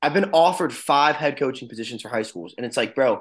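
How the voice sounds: A man talks with lively intonation. There is a slightly husky edge to his voice. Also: medium pitch for a man, fairly quick pace.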